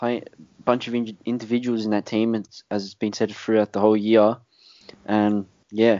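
A man with an Australian accent speaks at a moderate pace and a fairly low pitch, his intonation monotone and flat. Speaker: podcast host. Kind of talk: casual chat.

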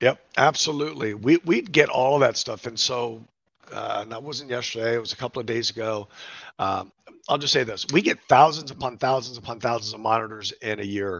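A man speaks in a plain, everyday voice at a medium pitch and a fairly quick pace. His pitch variation is ordinary, while his loudness swings a lot. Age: 50s. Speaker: veteran nonprofit CEO. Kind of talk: casual interview chat.

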